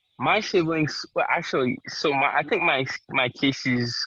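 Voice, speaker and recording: In a Haitian accent, a man speaks at a medium pitch with ordinary pitch variation. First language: Haitian Creole. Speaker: interviewee. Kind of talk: interview. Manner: halting.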